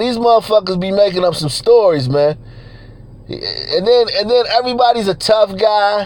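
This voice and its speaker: Speech with ordinary pitch variation runs at a moderate pace while noticeable noise sits in the background. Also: man. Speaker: YouTuber. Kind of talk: casual livestream rant. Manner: runs words together; halting, repeats words.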